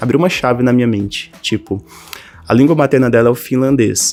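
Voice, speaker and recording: With music in the background, a man talks at medium pitch with ordinary pitch variation. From Brazil, northern Minas Gerais. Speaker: language teacher and online creator. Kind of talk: personal story monologue to camera. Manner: casual, conversational.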